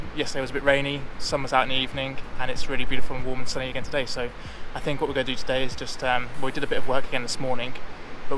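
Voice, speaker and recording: At a very fast pace, a man speaks in a monotone, flat intonation, the sound dry with no echo and noticeable background noise. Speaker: travel vlogger. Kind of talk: casual vlog chat. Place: beach. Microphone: phone near.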